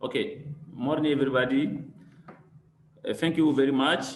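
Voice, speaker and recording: A man with a non-native accent talks at a fairly high pitch for a man, using fairly even intonation. Noticeable background noise and audible room echo fill the recording. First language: not English. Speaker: workshop participant. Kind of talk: question in live session. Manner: halting.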